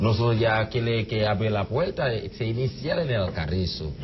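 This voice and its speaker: Over light background noise, a man speaks at a moderate pace with a Haitian accent. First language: Haitian Creole (speaking Spanish). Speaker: immigrant association president; guest. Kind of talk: TV interview. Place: studio.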